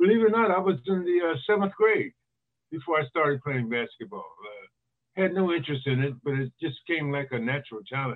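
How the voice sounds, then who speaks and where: With an American accent, a man talks at a fairly quick pace in a normal speaking voice. His pitch is fairly high and his intonation lively. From Northern California (East Palo Alto). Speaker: retired basketball player and author. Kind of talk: casual interview.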